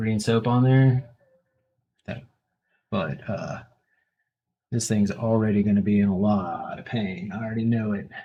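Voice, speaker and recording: Soft-spoken and fairly low-pitched, a man talks in a dark, mellow tone at a fairly slow pace with long, frequent pauses. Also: ordinary pitch variation. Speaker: tattoo artist streamer. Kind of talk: casual live-stream chat while tattooing.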